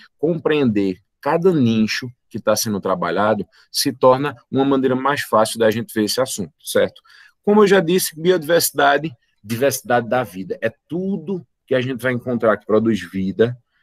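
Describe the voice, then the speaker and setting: A man's medium-pitched voice with lively intonation, recorded with a dry, close sound and no echo. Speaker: biology teacher. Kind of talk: online lecture. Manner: fast.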